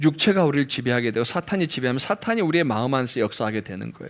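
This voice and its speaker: A man's voice with very wide pitch swings. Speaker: pastor. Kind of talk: sermon. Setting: church. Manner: occasional pronunciation slips.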